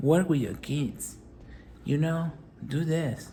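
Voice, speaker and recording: The speech has a non-native accent. The pace is very slow. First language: not English. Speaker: motivational business vlogger. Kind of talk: motivational talk.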